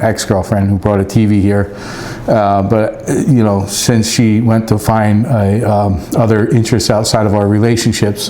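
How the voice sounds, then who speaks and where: A man with a fairly low voice talks at a moderate pace in a flat monotone, his loudness very even, with audible room echo and noticeable background noise. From US East Coast. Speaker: radio hobbyist YouTuber, former law enforcement. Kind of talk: casual product review vlog.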